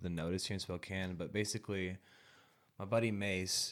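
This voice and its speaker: Speaking at a moderate pace, a man uses a very deep, low pitch and fairly even intonation. The recording is very clean, with a silent background. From US Pacific Northwest (eastern Washington / northern Idaho). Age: 20s. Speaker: rapper. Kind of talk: casual chat.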